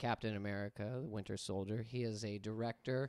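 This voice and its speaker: The speaker keeps a moderate pace on a very clean recording with a silent background. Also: man. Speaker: podcast host.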